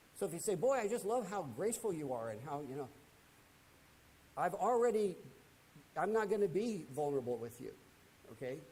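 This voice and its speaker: A man with a high voice and a dark, mellow tone talks at a fairly quick pace, his pitch swinging very widely. He leaves long, frequent pauses, and the room echo is audible. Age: 70s. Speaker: Bible class teacher. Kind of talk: lecture. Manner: conversational with frequent fillers and repetitions.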